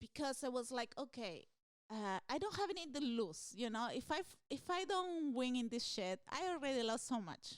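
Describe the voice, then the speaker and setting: A woman with a Spanish accent talks at a moderate pace in a high pitch. Her pitch swings very widely. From Peru. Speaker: stand-up comedian. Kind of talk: interview answer.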